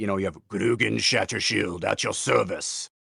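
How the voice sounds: Using a put-on character voice, a man sounds gruff and raspy at a moderate pace.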